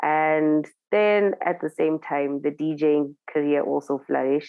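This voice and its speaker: With a very deep, low pitch, a woman speaks at a fairly slow pace, keeping her loudness very even and her intonation fairly even. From Zimbabwe. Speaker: DJ and TV presenter. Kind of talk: interview.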